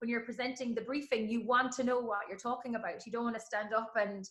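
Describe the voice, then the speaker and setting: Very fast pace with an Irish accent and monotone, flat intonation. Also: woman. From Ireland. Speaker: sports announcer. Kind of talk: interview answer.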